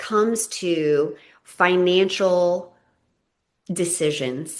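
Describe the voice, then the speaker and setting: A woman talks at a very slow pace. Her pitch is medium with ordinary variation. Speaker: podcast host. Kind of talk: interview question.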